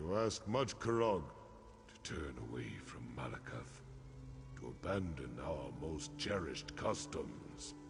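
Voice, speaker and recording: Over clear background noise, a man puts on a character voice at a fairly slow pace. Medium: video game. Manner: gruff, stern.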